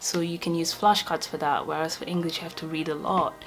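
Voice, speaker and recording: With faint music in the background, a woman speaks in a very deep, low pitch at a fairly quick pace. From Portugal. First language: Portuguese. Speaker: medical student; student vlogger. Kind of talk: casual talk to camera. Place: home room.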